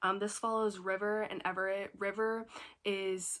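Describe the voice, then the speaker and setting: On a very clean recording with a silent background, a woman with a bright, sharp tone speaks at a moderate pace with fairly even intonation. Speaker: book vlogger. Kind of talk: casual vlog talk. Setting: at home. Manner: casual, filler-heavy.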